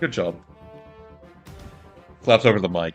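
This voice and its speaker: A man talking at a fairly quick pace with music in the background. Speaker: podcast host. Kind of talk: casual podcast conversation.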